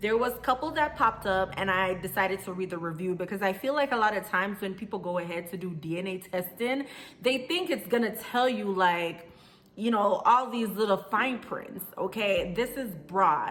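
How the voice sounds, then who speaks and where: A woman with a Jamaican accent talks at a moderate pace and medium pitch, with ordinary pitch variation and an animated tone. Noticeable background noise sits behind her. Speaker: vlogger. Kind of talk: casual vlog talk.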